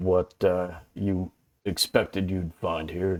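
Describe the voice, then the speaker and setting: Using a put-on character voice, a man speaks in a drawling way. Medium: actual play. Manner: slow, drawling.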